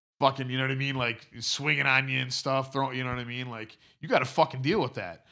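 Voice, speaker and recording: A man's bright, sharp tone at medium pitch with an American accent, fairly even intonation and a fairly quick pace. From Detroit. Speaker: musician and wrestling fan. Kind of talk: casual chat, podcast interview.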